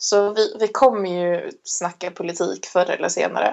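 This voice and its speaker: A woman with vocal fry talks at a moderate pace, her pitch in the medium range. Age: 20s. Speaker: podcast co-host. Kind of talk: casual chat.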